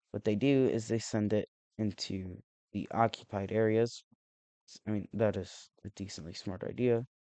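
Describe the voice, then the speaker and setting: A man speaks at a moderate pace in a fairly low, dark and mellow voice with fairly even intonation, the sound dry and close with no echo. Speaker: map simulation video creator. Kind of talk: casual commentary narration. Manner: halting, many restarts and fillers.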